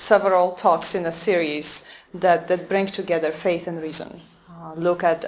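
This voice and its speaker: At a moderate pace, a woman with a Polish accent speaks in a fairly low voice with monotone, flat intonation. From Poland. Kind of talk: lecture. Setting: convent talk with audience. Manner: halting, many fillers.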